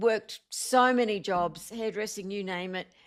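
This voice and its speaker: In an Australian accent, a woman speaks fairly slowly at a fairly high pitch on a very clean recording with a silent background. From Australia, Blue Mountains and Sydney. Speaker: singer-songwriter and motivational speaker. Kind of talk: interview.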